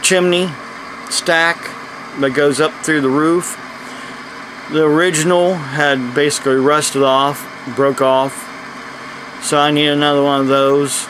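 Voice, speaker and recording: A man with an American accent talks at a fairly slow pace and fairly high pitch, his intonation monotone and flat and his loudness very even. Long, frequent pauses break up his speech against noticeable background noise. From United States. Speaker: preacher. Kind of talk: casual talk to camera.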